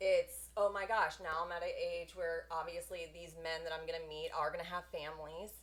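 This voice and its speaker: Speaking at a moderate pace with hardly any pauses, a woman talks over noticeable background noise. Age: late 30s. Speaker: guest on a podcast talking about her divorce. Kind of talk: casual chat. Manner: loud.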